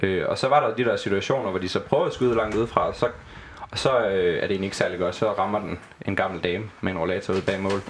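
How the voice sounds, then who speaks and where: Over noticeable background noise, a man talks at a very fast pace with a fairly low pitch and ordinary pitch variation. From Southern Jutland, Denmark. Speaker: football club fan and former club graphic designer. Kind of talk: casual chat. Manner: halting with repeated words.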